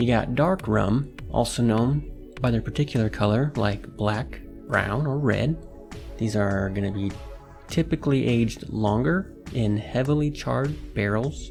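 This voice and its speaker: A man speaks at a fairly slow pace in a medium pitch with lively intonation. Music plays in the background. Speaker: podcast host. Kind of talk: educational podcast talk. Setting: studio.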